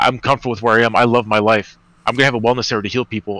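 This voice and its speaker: A man's bright, sharp voice at medium pitch, very fast and in monotone, flat intonation. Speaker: spiritual healer. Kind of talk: casual chat. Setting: live stream call.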